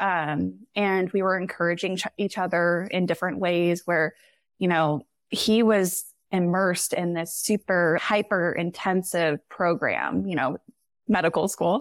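A plain, everyday voice with fairly even intonation comes through a very clean, silent-background recording that is dry and close with no echo. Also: woman, fairly low pitch for a woman. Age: 30s. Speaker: podcast guest, wife of a surgical resident. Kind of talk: casual chat.

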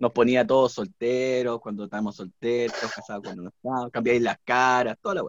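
This is an unremarkable speaking voice, a man at medium pitch with ordinary pitch variation. He talks at a fairly quick pace with hardly any pauses, and the sound is dry and close with no echo. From Peru, Lima. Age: 40s. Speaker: singer-songwriter. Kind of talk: casual chat.

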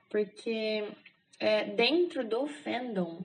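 A woman talks at a medium pitch. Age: 20s. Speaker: architect, K-pop fan sharing personal story. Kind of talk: casual interview.

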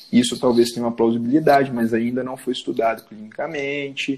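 A man's plain, everyday voice, at a medium pitch and a fairly quick pace. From Minas Gerais, Zona da Mata (Rio Pomba, Juiz de Fora). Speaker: orthopedic surgeon. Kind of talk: casual interview chat.

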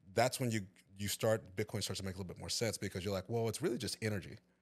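In a Texan accent, a man with a fairly low pitch speaks with fairly even intonation on a very clean recording with a silent background. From East Texas (Tyler). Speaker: IT staffing director. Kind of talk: casual chat. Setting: studio.

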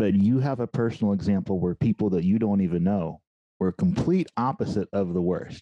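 A man with an American accent talks at a fairly quick pace in a normal speaking voice, fairly low in pitch with ordinary pitch variation and very even loudness. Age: 40s. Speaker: podcast host. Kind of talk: interview.

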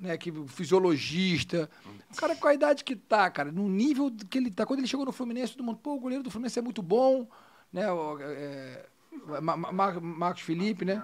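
A man with a Rio de Janeiro accent speaks at a fairly quick pace. His high voice swings very widely in pitch. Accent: Carioca Brazilian Portuguese. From Rio de Janeiro, Brazil (born Minas Gerais). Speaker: former football goalkeeper, physiotherapist. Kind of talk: casual chat.

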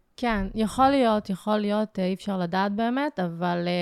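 A woman with an unremarkable speaking voice talks at a moderate pace and medium pitch with ordinary variation, in a very clean recording with a silent background and a dry, close sound with no echo. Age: 20s. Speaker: emotional therapist. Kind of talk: personal testimony.

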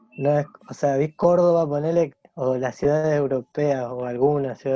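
A man speaks at a fairly high pitch with a dark, mellow tone and fairly even intonation. The sound is dry and close, with no echo. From Argentina, Santa Fe and Rosario. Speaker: illustrator. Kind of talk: casual interview chat. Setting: video call.

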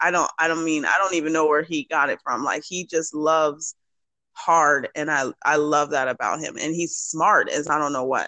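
Bright and sharp in tone, the voice moves at a moderate pace with fairly even intonation over a dry, close sound with no echo. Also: woman, very deep, low pitch for a woman. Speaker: business owner and mother. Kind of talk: casual chat. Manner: chipper.

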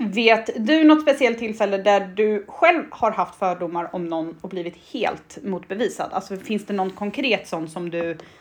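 Big swings in loudness over noticeable background noise, at a moderate pace with hardly any pauses. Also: woman, medium pitch for a woman. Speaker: podcast co-host. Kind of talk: casual chat.

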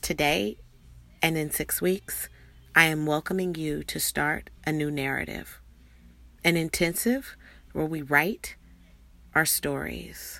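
Speech comes at a fairly slow pace with long, frequent pauses, recorded very cleanly against a silent background. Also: woman. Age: 40s. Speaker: podcast host, coach. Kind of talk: announcement, promotional pitch.

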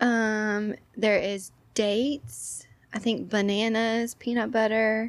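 A woman's fairly high, monotone, flat voice with an American accent at a very slow pace, on a very clean recording with a silent background. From Texas, Orange (southeast Texas). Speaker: yoga instructor. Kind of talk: casual chat.

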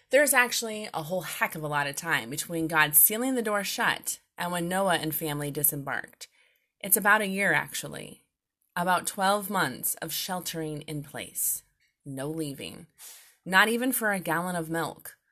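Over a very clean recording with a silent background, a woman with a fairly low pitch speaks at a moderate pace in a bright, sharp tone with lively intonation. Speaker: podcast host. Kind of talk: scripted devotional talk. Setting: home recording with noisy kids.

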